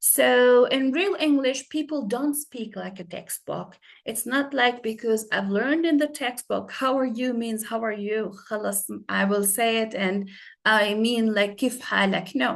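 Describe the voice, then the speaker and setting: Here a woman with an Arabic accent talks fairly slowly at a fairly high pitch with ordinary pitch variation. The background is quiet. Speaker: English teacher. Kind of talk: lecture. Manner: halting.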